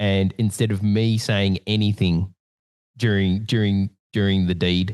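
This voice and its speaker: A man with an Australian accent, fairly low in pitch and monotone with flat intonation, at a fairly slow pace against a quiet background, with a dry, close sound with no echo. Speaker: podcast host. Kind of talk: casual chat.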